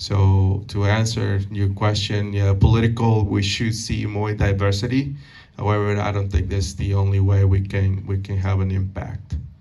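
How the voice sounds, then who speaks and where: A man with a Spanish accent, fairly low pitch, somewhat breathy voice and monotone, flat intonation at a moderate pace, amid audible room echo. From Peru. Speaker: banker and community speaker. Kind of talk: Q&A at a public talk. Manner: halting, many fillers and repeated words.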